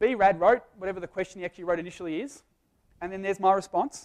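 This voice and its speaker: A man talks at a very fast pace in a high voice. His intonation is fairly even. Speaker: business speaker. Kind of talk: live presentation. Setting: stage with audience.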